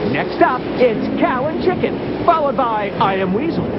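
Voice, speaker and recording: Over noticeable background noise, a man with an extremely high pitch talks at a fairly slow pace using lively intonation. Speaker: TV network announcer. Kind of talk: TV channel promo read. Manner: energetic.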